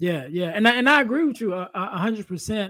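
This recording is very clean with a silent background. The speaker is a man. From Chicago. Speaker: podcast host. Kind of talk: casual interview chat.

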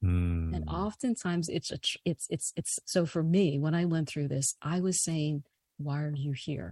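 Somewhat breathy and dark, mellow in tone, a woman with an American accent speaks at a fairly slow pace in a very deep, low pitch, the sound dry and close with no echo. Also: lively intonation, quiet background. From New York City. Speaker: life coach and author. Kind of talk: interview.

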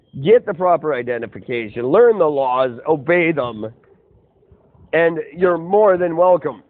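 Using a plain, everyday voice, a man speaks at a fairly slow pace with a fairly high pitch and lively intonation. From Kelowna, British Columbia, Canada. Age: 40s. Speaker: podcast host. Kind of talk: casual chat. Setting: phone call.

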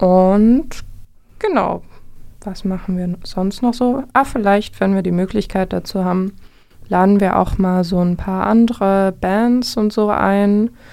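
At a very slow pace, a woman speaks in a dark, mellow tone at medium pitch with fairly even intonation. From Vogtland, Saxony, Germany. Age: 20s. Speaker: radio host and music teacher. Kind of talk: casual music radio chat. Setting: radio studio.

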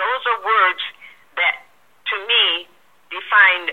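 A woman speaks very slowly, her pitch varying in an ordinary way, with noticeable noise behind her. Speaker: author and radio talk host. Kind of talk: interview.

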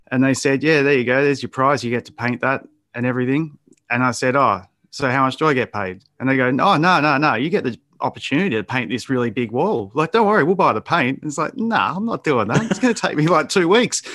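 Against a quiet background, a man with an Australian accent talks very fast in a fairly high, bright, sharp voice with lively intonation. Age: 40s. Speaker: graffiti artist and painter. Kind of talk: casual interview.

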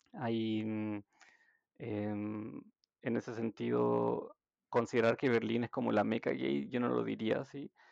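A man's very slow speech in a dry, close sound with no echo. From Chile, Santiago. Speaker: healthcare worker, social care worker. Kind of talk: casual interview.

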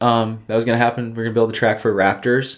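A medium-pitched man with an American accent. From Michigan, Silver Lake dunes area. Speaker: golf course family member and dune video creator. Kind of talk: casual chat.

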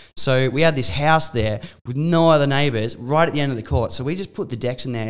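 Talking at a very fast pace, a man with an Australian accent uses ordinary pitch variation on a very clean recording with a silent background. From Australia, Mornington Peninsula, Victoria. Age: 20s. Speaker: DJ and nightclub manager. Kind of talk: casual chat.

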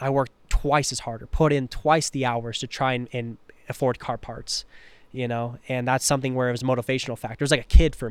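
At a medium pitch and a fairly quick pace, a man speaks in a very clean recording with a silent background. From Washington State, Tri-Cities. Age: 20s. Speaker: underglow company owner. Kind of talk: casual chat. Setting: on location at a car event.

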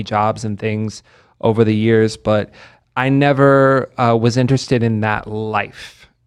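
Against a quiet background, a man with a normal speaking voice talks at a fairly slow pace in a medium pitch with fairly even intonation. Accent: American. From Kentucky, US (Lexington). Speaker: nightlife entertainment marketing director. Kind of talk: casual interview chat. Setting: studio.

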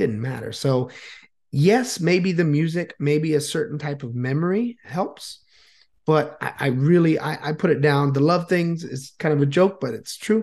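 In a normal speaking voice, a man talks at a fairly high pitch and moderate pace with ordinary pitch variation against a quiet background. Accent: American. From Florida, US. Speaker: YouTuber and Vietnamese language teacher. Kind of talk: casual interview chat.

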